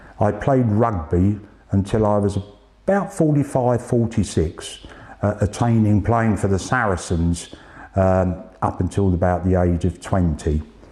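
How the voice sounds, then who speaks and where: A man's fairly low voice at a fairly slow pace, very even in loudness with ordinary pitch variation, against noticeable background noise. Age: 60s. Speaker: cancer patient. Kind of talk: testimony.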